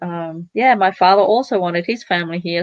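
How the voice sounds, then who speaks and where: A woman speaks with an Australian accent. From Cambodia, raised in Italy then Australia. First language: Italian. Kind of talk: interview. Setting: live stream.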